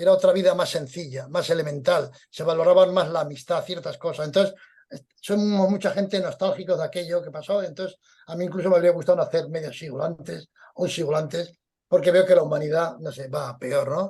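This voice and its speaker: Fairly even in intonation yet with big swings in loudness, a man with a high pitch and dark, mellow tone speaks at a fairly quick pace. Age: 70s. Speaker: veteran journalist and crime historian. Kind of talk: interview.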